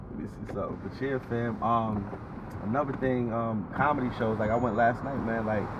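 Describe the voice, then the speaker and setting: Someone with an American accent talks at a fairly quick pace with fairly even intonation, amid audible room echo and noticeable background noise. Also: man, medium pitch for a man. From South Jersey, US, Jamaican family. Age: 30s. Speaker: trucking entrepreneur. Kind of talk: casual chat. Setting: on location in NYC.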